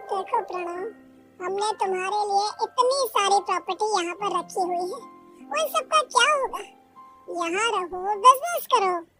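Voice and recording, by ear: This is a cartoonish character voice at a moderate pace. Faint music plays in the background.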